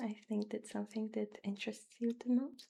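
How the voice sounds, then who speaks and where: The voice is soft-spoken with a gentle tone. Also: woman. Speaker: ASMR creator. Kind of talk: ASMR roleplay, job interviewer. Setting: close-mic studio recording. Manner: soft-spoken, gentle, reassuring.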